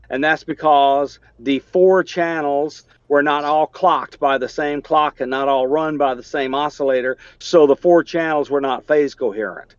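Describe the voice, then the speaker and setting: With a Southern US accent, a man speaks in a fairly high pitch and fairly even intonation. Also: moderate pace. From US South, Alabama. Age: 60s. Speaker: engineer and amateur radio operator. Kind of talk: technical discussion in a video meeting. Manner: halting, many fillers.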